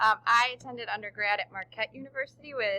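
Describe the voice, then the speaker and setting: Her tone is bright and sharp, at a medium pitch. The woman speaks at a fairly quick pace. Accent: Chicago. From Chicago suburbs, Illinois. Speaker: teacher. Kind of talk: recorded presentation.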